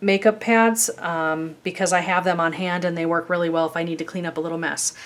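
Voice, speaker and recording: A woman speaks at a fairly quick pace with a slight Chicago accent. Her pitch is fairly low and her intonation monotone and flat. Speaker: craft YouTuber. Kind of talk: tutorial. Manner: casual, chatty with many fillers.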